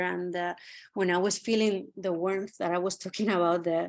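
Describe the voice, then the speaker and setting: In a quiet background, a woman with a medium pitch speaks at a moderate pace with fairly even intonation. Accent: Spanish. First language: Spanish. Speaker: art curator. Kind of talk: curatorial talk. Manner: halting.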